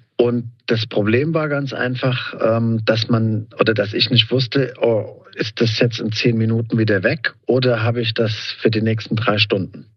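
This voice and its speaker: At a fairly slow pace with hardly any pauses, a man of medium pitch talks with fairly even intonation. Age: 50s. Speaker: patient. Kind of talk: interview. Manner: hesitant, filler-heavy.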